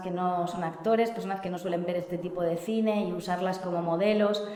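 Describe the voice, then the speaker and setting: The speaker here is a woman. Her voice carries audible room echo over noticeable background noise. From Spain, outskirts of Barcelona (Catalonia). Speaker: film director. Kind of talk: panel talk about her film. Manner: hesitant, many fillers.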